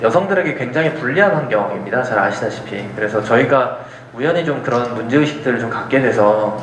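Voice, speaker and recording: A man talks at medium pitch with lively intonation and a fairly quick pace. There is audible room echo and noticeable background noise. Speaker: lecturer, impact investor. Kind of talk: lecture. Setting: lecture hall with audience. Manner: fast.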